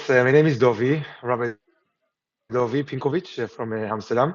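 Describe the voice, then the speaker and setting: Over a quiet background, someone speaks at a fairly quick pace with an Israeli accent. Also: man. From Israel, Jerusalem. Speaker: rabbi. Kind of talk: interview. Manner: halting, many fillers.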